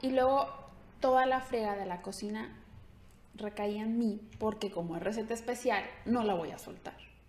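Long, frequent pauses break up a woman's fairly high voice, which has ordinary pitch variation and a moderate pace amid noticeable background noise. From Mexico, Ciudad Guzmán, Jalisco. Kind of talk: casual interview.

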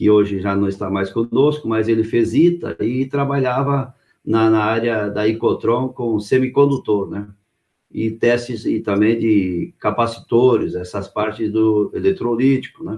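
A man talks at a fairly slow pace, medium in pitch with ordinary pitch variation. He has a normal speaking voice. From Rio Grande do Sul, Brazil. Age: 60s. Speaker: company founder, entrepreneur. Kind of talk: live interview.

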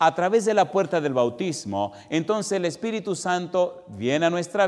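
Lively intonation from a man at a moderate pace. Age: 50s. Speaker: preacher. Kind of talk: sermon. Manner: animated.

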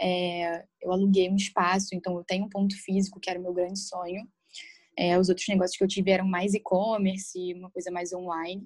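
A woman speaks at a fairly quick pace with a medium pitch. Her intonation is flat and monotone. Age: 20s. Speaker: nail bar owner. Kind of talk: casual interview chat.

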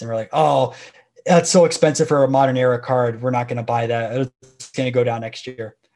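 With an American accent, a man talks at a fairly quick pace in an ordinary speaking voice of medium pitch. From Florida, Tampa area. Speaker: sports card YouTuber. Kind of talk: casual interview chat.

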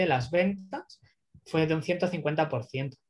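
With ordinary pitch variation, this man's voice stays fairly high in pitch. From Spain (Barcelona). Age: 30s. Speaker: growth marketing consultant. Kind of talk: interview.

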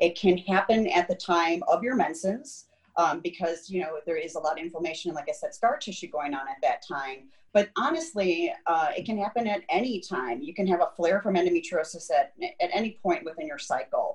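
Speaking at a fairly quick pace with hardly any pauses, a woman uses lively intonation at a medium pitch, her voice somewhat breathy. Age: 40s. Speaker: endometriosis patient and advocate. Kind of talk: interview. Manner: casual, hesitant with fillers.

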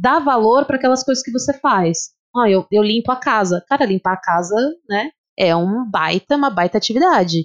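A woman with a fairly high pitch, animated tone and lively intonation, in a dry, close sound with no echo. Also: moderate pace. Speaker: physical education teacher. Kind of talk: casual chat.

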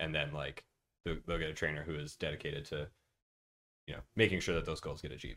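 Despite long, frequent pauses, a man with an American accent talks at a very fast pace in a very deep, low voice with a bright, sharp tone. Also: fairly even intonation. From Minnesota. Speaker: baseball coach. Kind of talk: casual chat.

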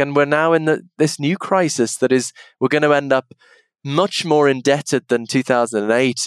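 On a very clean recording with a silent background, a man with an English accent sounds dry and close, with no echo. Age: 40s. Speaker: philosophy professor. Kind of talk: interview conversation. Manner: halting.

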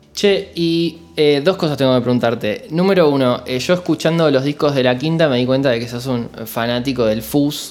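Over music in the background, a man with a Rioplatense accent talks at fairly high pitch with ordinary pitch variation and hardly any pauses. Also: moderate pace. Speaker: podcast host. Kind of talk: interview.

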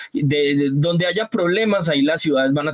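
Over noticeable background noise, a man talks at a moderate pace with lively intonation, the sound dry and close with no echo. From Colombia, Antioquia (paisa), raised on San Andrés island. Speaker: innovation analyst. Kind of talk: casual interview.

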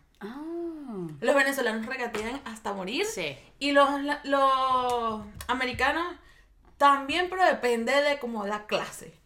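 A woman with a high pitch and a bright, sharp tone projects her raised voice at a fairly slow pace, with lively intonation and big swings in loudness. Long, frequent pauses break up her speech, and audible room echo surrounds it. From Venezuela. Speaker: photographer. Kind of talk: casual chat.

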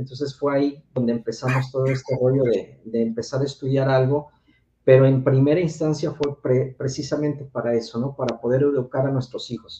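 A man talks at a fairly quick pace in monotone, flat intonation. His medium-pitched voice is dark, mellow and somewhat breathy. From Mexico City. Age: 40s. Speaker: sex educator. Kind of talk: casual chat.

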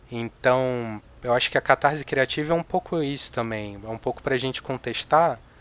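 At a moderate pace, the speaker uses an ordinary speaking voice. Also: man. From Rio de Janeiro, Brazil. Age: 40s. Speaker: novelist. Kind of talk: casual chat.

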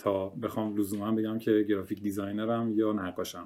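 In a very clean recording with a silent background, a man with a plain, everyday voice and a fairly low pitch speaks at a moderate pace. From Iran, Kerman. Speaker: graphic designer and painter. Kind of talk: casual chat. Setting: voice chat on Discord.

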